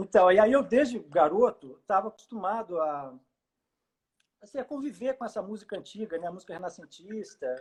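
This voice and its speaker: A man with a slight mineiro accent speaks at a moderate pace and high pitch, with lively intonation and big swings in loudness. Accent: mild Minas Gerais accent, close to Rio. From Brazil, Juiz de Fora (Minas Gerais). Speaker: baroque violinist and educator. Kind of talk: casual interview chat. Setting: Instagram live video call. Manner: hesitant, many fillers.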